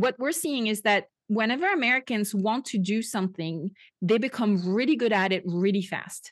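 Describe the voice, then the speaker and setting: With a French accent, a woman speaks in a fairly high pitch at a moderate pace. Her tone is animated and her intonation lively, against a quiet background. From France. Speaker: podcast host and Bible teacher. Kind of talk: casual interview.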